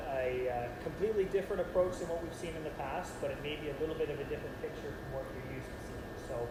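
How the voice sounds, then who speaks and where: A man at a fairly high pitch and a very fast pace, with audible room echo and noticeable background noise. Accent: Canadian. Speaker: national sport federation manager. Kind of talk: presentation. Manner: loud.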